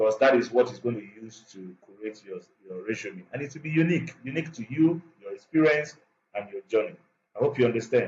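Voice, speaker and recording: Somewhat breathy and at a medium pitch, a man talks at a fairly quick pace with lively intonation and big swings in loudness. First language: not English. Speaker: instructor. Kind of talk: tutorial. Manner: halting.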